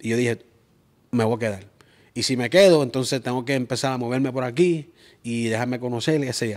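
Over a quiet background, a man with a medium pitch talks at a fairly quick pace with ordinary pitch variation and long, frequent pauses. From Springfield, Massachusetts; Massachusetts. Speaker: event promoter; podcast guest. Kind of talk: casual interview; interview answer. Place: studio. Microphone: lapel.

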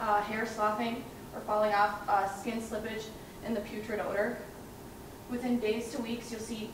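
A woman speaks at a moderate pace with audible room echo and noticeable background noise. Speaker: presenter. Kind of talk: research presentation. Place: hall. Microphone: camera far.

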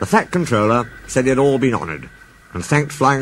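The text is read out in a natural voice.

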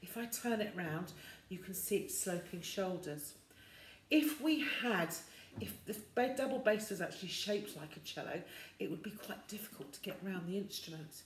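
Moderate pace with long, frequent pauses, audible room echo and light background noise. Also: woman, big swings in loudness. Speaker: music teacher. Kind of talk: tutorial. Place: home room. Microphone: phone near.

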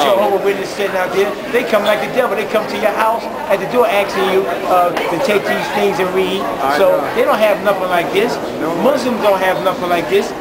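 Loud background noise fills the recording. Through it, a man talks fairly quickly. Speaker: street preacher. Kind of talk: interview answer. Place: station. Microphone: phone near.

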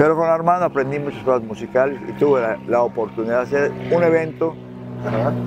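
A man speaks very fast at medium pitch with ordinary pitch variation. The sound is dry with no echo, and there is noticeable background noise. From Yucatán, Mexico. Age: 80s+. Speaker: nautical businessman and jazz musician. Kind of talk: interview answer. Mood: warm, proud storytelling. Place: waterside. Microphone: lapel.

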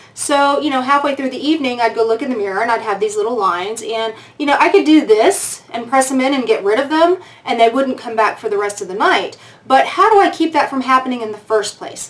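Her pitch high and her intonation lively, a woman talks at a very fast pace. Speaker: beauty vlogger. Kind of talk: casual vlog chat. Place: home room.

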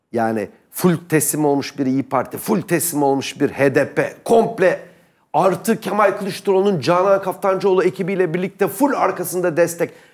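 Animated and lively in intonation, a man with a high pitch talks at a moderate pace against a quiet background. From Turkey. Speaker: political commentator. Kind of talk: heated debate. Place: studio. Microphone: lapel.

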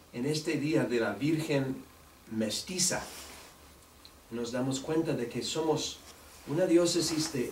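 Very slowly, a man speaks with a non-native accent, a fairly high pitch and ordinary pitch variation. Room echo is audible, along with light background noise. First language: English (speaking Spanish). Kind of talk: press conference statement. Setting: news conference. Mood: warm, earnest. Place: meeting room. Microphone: podium.

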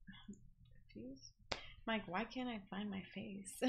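A woman is talking. She keeps a fairly slow pace. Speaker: game streamer. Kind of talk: casual stream chat. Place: home room.

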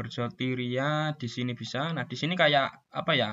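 Speaking at a moderate pace and medium pitch, a man uses an ordinary speaking voice. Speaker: scout youth leader. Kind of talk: tutorial. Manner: casual, with fillers.

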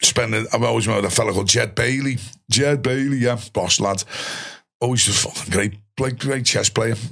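Speaking at a moderate pace with a Liverpool accent, this voice keeps a very even loudness and fairly even intonation over a quiet background. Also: man. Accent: Scouse (Liverpool). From Liverpool, England. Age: 50s. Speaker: ex-soldier and musician; podcast guest. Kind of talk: casual interview chat. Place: studio. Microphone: studio mic.

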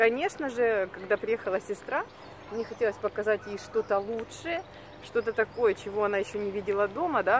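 Light background noise sits behind a woman speaking at a fairly quick pace. The sound is dry, with no echo. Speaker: vlogger. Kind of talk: casual vlog chat. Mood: warm, nostalgic. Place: street. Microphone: phone near.

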